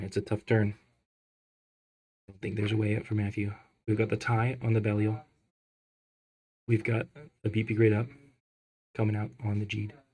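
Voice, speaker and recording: A man's fairly low, somewhat breathy voice has a dark, mellow tone, and his loudness swings widely. He moves at a fairly quick pace yet pauses long and often, on a very clean recording with a silent background. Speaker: card game tournament commentator. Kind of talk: live commentary. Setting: live tournament stream. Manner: animated.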